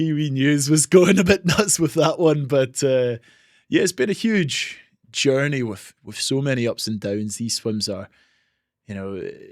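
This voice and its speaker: On a very clean recording with a silent background, a man with a British accent speaks at a fairly slow pace. His fairly high pitch makes very wide swings, and his loudness shifts a lot. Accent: non-Australian, UK. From Scotland. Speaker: marathon swimmer. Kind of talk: podcast interview.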